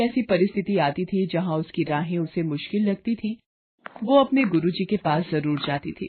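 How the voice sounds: Lively intonation marks this woman's fairly low-pitched voice, which carries a slightly husky edge. She talks at a moderate pace.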